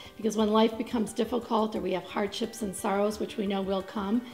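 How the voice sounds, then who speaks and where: A very fast pace with fairly even intonation over faint music in the background. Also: woman. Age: 50s. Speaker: psychologist. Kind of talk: interview answer. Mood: warm, reflective. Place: studio.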